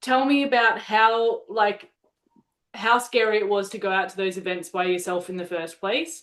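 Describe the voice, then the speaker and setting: A woman with a plain, everyday voice talks at medium pitch. Her pace is moderate, with ordinary pitch variation. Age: 30s. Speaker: software company host, former salon owner. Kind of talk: live webinar interview.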